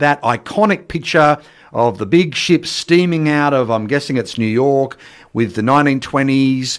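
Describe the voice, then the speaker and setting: Speaking with an Australian accent, a man with a fairly high pitch uses lively intonation. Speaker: radio host. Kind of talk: radio dj patter. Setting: radio studio. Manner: animated, bright broadcast-style delivery with jokes.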